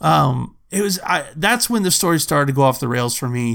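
In a normal speaking voice with an American accent, the speaker goes at a moderate pace with ordinary pitch variation. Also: man. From United States. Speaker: podcast co-host. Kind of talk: casual chat.

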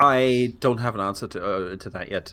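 A man with a British accent, fairly low pitch and a bright, sharp tone. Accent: British-sounding English. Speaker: game company community manager. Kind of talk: podcast interview. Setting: remote podcast recording.

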